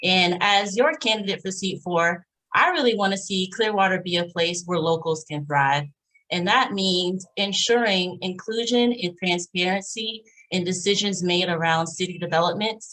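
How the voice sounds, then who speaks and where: A woman with an American accent speaks at a moderate pace and medium pitch with ordinary pitch variation, in a plain, everyday voice. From Pinellas County, Florida. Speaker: city council candidate. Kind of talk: candidate forum speech.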